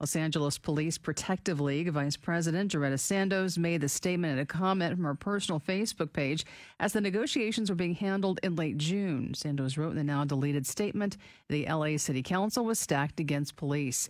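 A woman with an ordinary speaking voice and a fairly low pitch talks at a fairly quick pace, with ordinary pitch variation and very even loudness, in a very clean recording with a silent background. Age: 30s. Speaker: radio co-host. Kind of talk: news reading.

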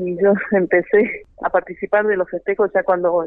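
Her voice is medium-pitched, and the woman's intonation stays monotone and flat. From Argentina, Jujuy (Iruya). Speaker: wind instrument musician. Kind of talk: interview.

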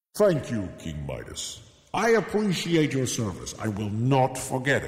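A man uses a put-on character voice at medium pitch. He keeps a moderate pace, with a slight echo. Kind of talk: comic kids' storytelling. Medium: read story. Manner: grand, measured.

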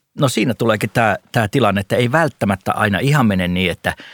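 In a very clean recording with a silent background and a dry, close sound with no echo, a man with an unremarkable speaking voice talks at a fairly quick pace, fairly low in pitch with ordinary pitch variation. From North Karelia, eastern Finland. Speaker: investment podcast co-host / analyst. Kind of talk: casual discussion. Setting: studio.

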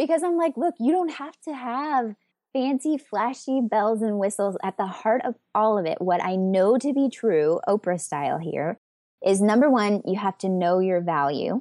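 Against a quiet background with a dry, close sound and no echo, a woman with an American accent speaks at a fairly high pitch and a moderate pace, her dark, mellow tone carrying very wide pitch swings. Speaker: communication coach and business owner. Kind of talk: casual interview chat.

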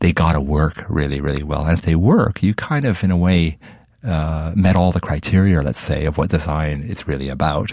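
Ordinary pitch variation marks the speech, delivered at a moderate pace. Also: man, very deep, low pitch for a man. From Middle East, raised in Canada. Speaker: designer. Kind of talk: interview.

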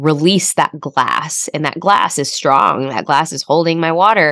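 With an American accent, a woman speaks at a moderate pace in a very deep, low voice with fairly even intonation. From US Midwest, Chicago. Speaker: author and emotional health coach. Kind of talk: interview conversation.

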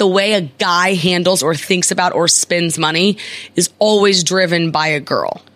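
Putting on a raspy character voice, a woman speaks at a moderate pace with a medium pitch. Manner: slow, clear, repeated at a slower pace on request.

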